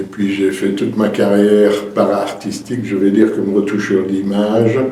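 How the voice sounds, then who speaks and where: With a Liège accent and a fairly low pitch, a man speaks at a fairly slow pace amid audible room echo and noticeable background noise. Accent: Belgian French (Liège region). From Belgium, Verviers (Liège province). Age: 70s. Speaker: retired painter and painting teacher. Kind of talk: interview. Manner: hesitant, with fillers and repetitions.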